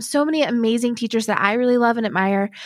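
A plain, everyday voice, this woman speaks at a fairly high pitch with lively intonation, in a dry, close sound with no echo on a very clean recording with a silent background. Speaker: Enneagram teacher and author. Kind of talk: podcast interview. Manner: kind, warm.

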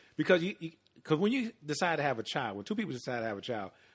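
A man speaks very fast at a medium pitch, with very wide pitch swings. The background is quiet. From US Midwest, Chicago South Side. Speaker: retired police officer. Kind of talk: casual chat.

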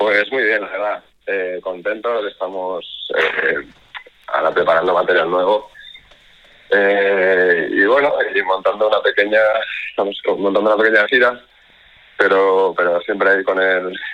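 Long, frequent pauses break up a man's speech, delivered at a moderate pace. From Ibiza, Spain. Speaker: band vocalist. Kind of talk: radio interview.

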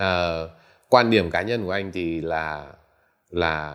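This is a man with a very deep, low pitch. His pitch variation is ordinary. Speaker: entrepreneur and tech investor. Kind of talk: interview. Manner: halting, many fillers.

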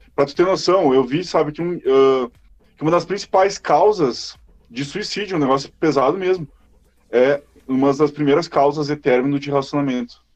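At a moderate pace, a man talks with a fairly high pitch and ordinary pitch variation. He has an unremarkable speaking voice. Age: 20s. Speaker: podcast host. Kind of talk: casual chat.

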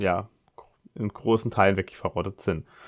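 A man at a fairly quick pace, with a dry, close sound and no echo. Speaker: podcast host. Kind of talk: solo podcast monologue. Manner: halting, many filler sounds.

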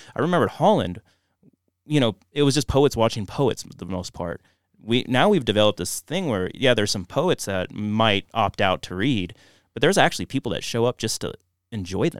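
A man speaks at a medium pitch and a fairly quick pace, in a plain, everyday voice. The recording is very clean with a silent background and a dry, close sound with no echo. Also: lively intonation. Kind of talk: casual podcast chat.

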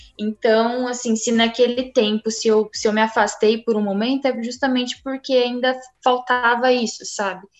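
With music in the background, a woman with a high pitch speaks at a moderate pace with fairly even intonation and hardly any pauses. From Franca, São Paulo state, Brazil. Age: 20s. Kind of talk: personal testimony.

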